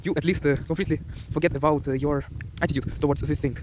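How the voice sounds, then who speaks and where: Very fast speech from a man with a Ukrainian accent, fairly high in pitch and marked by vocal fry. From Ukraine. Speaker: self-improvement vlogger. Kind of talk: motivational vlog. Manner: hesitant.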